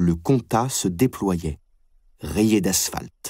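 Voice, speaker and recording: Delivering his words at a very slow pace, a man uses lively intonation. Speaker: audiobook narrator. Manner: steady, unhurried, even-paced literary delivery.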